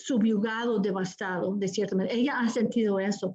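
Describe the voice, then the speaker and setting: A woman speaks in a fairly high voice with a dark, mellow tone. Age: 50s. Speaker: novelist leading a book discussion. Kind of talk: literary discussion talk. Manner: halting, many repetitions and fillers.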